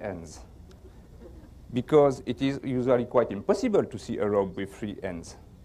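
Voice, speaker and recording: On a very clean recording with a silent background, a man with a French accent talks at a moderate pace, his pitch swinging very widely. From France. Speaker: magician. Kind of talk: magic performance patter.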